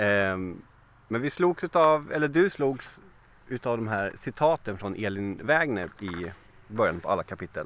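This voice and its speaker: This man's pitch swings very widely. He talks at a fairly slow pace. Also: medium pitch for a man. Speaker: podcast host. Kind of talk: interview.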